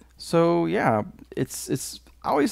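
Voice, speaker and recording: This man has a dark, mellow tone. He speaks at a very slow pace. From Tennessee. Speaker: gaming YouTuber. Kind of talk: casual gameplay commentary. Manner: careful enunciation; halting, many fillers.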